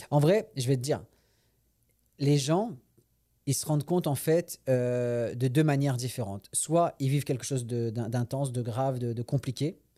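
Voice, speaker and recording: In a very clean recording with a silent background, a man with a medium pitch and a dark, mellow tone talks at a fairly slow pace, with ordinary pitch variation and long, frequent pauses. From France. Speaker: comedian. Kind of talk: casual chat. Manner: halting.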